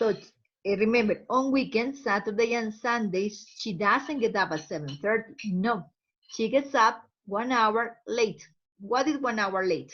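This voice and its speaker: A woman speaks in a Spanish accent. Her pitch is fairly high. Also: ordinary pitch variation, fairly slow pace. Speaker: English teacher. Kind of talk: language lesson. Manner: slow, repeating words for learners.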